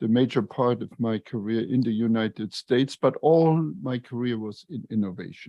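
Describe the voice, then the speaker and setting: A man speaks at a moderate pace with a Luxembourgish accent. His medium-pitched voice shows ordinary pitch variation. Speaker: retired engineer and lean consultant, author. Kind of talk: podcast interview. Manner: halting, many fillers.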